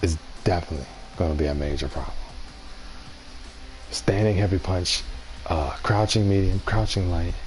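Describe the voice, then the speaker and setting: Whispering and soft-spoken, a man leaves long, frequent pauses against noticeable background noise. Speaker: gaming streamer. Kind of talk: live stream commentary. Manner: soft-spoken, whispering.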